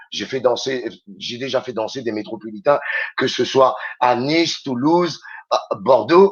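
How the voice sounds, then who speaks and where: A man with a Réunion accent, medium-pitched, at a fairly slow pace with ordinary pitch variation and long, frequent pauses. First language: Réunion Creole (speaking French). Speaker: radio host and DJ. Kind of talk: radio interview chat.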